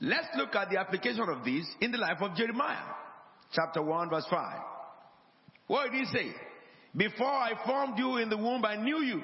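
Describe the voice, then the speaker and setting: Amid noticeable background noise, a man with a high pitch swings very widely in pitch, keeping a very even loudness and pausing long and often. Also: moderate pace. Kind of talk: sermon. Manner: call-and-response, emphatic, urging the congregation to repeat and say amen; didactic, repetitive, pastoral teaching with rhetorical flourishes.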